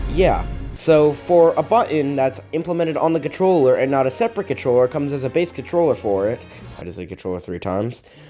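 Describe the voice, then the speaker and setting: Music plays in the background as a man with a fairly high pitch talks very fast with very wide pitch swings. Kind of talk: casual gaming commentary.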